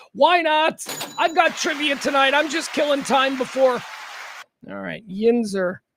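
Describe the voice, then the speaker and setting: Extremely high for a man, this voice with an American accent moves at a fairly slow pace with ordinary pitch variation. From Chicago South Side. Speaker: radio host. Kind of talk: casual chat. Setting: studio.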